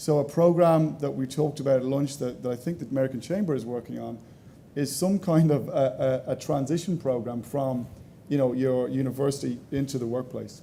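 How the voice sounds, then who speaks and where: A man with an Irish accent speaks fairly quickly at a fairly high pitch, his intonation fairly even. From Ireland. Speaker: panelist on education technology. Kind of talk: panel discussion.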